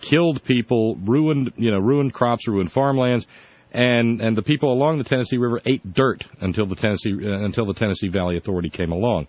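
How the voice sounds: Ordinary pitch variation from a man speaking at a fairly quick pace. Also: medium pitch for a man.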